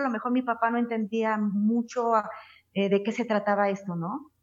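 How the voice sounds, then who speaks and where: Here a woman speaks at a fairly high pitch. Her pace is moderate. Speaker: ranchera singer. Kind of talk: interview conversation.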